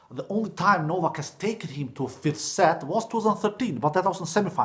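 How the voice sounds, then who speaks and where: With a non-native accent, a man speaks fairly quickly in an animated tone, his pitch swinging very widely. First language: not English. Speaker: tennis YouTuber. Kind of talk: solo video commentary.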